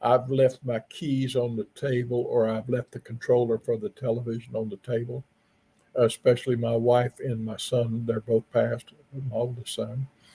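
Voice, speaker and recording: A man speaks in a dark, mellow, somewhat breathy voice at a medium pitch and moderate pace, flat and monotone, in dry, close sound with no echo. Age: 70s. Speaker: paranormal investigator. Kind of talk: podcast interview.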